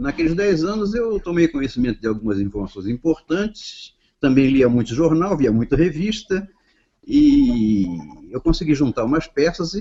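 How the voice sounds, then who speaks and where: A man with a fairly high pitch speaks at a moderate pace, his voice swinging very widely in pitch. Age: 70s. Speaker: retired army colonel. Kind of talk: self-introduction in a panel discussion. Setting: online video call.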